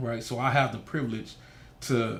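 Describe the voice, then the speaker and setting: A voice with a Haitian accent and vocal fry comes through with audible room echo. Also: man. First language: Haitian Creole. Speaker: nonprofit founder. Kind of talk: interview. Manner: animated.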